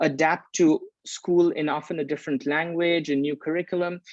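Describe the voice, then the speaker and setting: A man with a Bengali accent, fairly high in pitch, at a moderate pace with fairly even intonation, in a dry, close sound with no echo over a quiet background. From India, Calcutta, raised also in Paris and Geneva. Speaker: leadership course facilitator. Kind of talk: video interview. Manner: hesitant with frequent repetitions.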